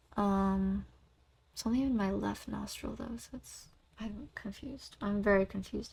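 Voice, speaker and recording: A soft-spoken woman talks at a moderate pace, her loudness swinging widely. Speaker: vlogger and singer. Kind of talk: casual chat. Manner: relaxed, flowing.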